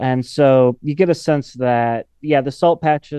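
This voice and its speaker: In a normal speaking voice, a man talks at a moderate pace with a medium pitch and fairly even intonation. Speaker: environmental journalist. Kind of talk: radio interview.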